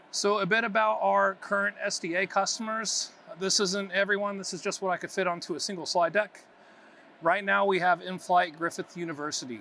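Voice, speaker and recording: A man's raised, projected voice, high-pitched with a bright, sharp tone, ordinary pitch variation and a fairly quick pace. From United States. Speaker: IT consultant. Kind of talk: conference presentation.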